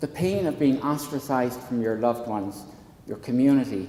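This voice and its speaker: A man with an Irish accent at a moderate pace and medium pitch, with ordinary pitch variation, amid noticeable background noise and audible room echo. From southwestern rural Ireland. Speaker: psychology professor and counsellor. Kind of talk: public talk at a town hall panel. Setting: hall with live audience.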